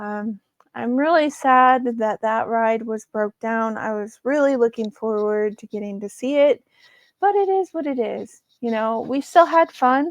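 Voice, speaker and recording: A woman's normal speaking voice, fairly high in pitch, at a fairly slow pace with ordinary pitch variation and big swings in loudness, in a dry, close sound with no echo. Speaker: podcast host. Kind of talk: casual podcast talk.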